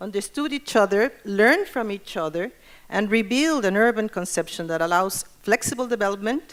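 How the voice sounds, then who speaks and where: With a Spanish accent and lively intonation, a woman speaks at a moderate pace and a medium pitch. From Mexico. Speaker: urban planning expert. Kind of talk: conference presentation.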